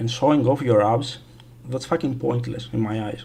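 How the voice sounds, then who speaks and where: A man with a non-native accent speaks at a medium pitch. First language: not English. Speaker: gaming streamer. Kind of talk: casual livestream chat. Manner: halting, many fillers.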